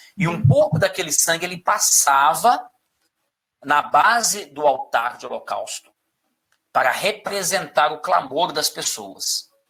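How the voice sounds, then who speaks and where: Pitched high with a bright, sharp tone, a man speaks at a very slow pace with lively intonation. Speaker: Bible study teacher. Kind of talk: interactive Bible study.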